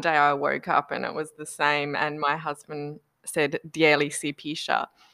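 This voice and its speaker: With an Australian accent, a woman speaks at a moderate pace in a very deep, low voice with a bright, sharp tone. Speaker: podcast guest. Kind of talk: casual chat. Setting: video call.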